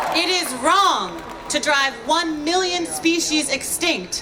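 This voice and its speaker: A woman with an American accent speaks in a raised, projected voice at a high pitch. Noticeable background noise runs behind her. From New York, Brooklyn. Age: 30s. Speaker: climate activist and marine biologist. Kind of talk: rally speech. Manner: loud.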